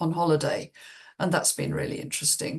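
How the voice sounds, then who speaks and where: A woman with a southern English accent speaks at a fairly low pitch. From England, Cheltenham. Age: 70s. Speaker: business coach. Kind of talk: video self-introduction. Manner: hesitant, with fillers and restarts.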